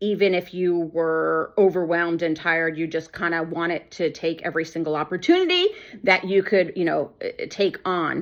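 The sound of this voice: Woman's fairly low voice at a moderate pace, lively in intonation, with few pauses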